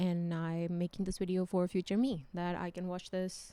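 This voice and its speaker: At a medium pitch, a woman's voice carries a dark, mellow tone. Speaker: book vlogger. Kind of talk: casual vlog monologue. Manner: slow, low volume.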